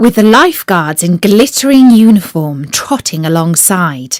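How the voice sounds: A woman speaks at a medium pitch and a fairly slow pace, with big pitch swings. The sound is dry and close, with no echo.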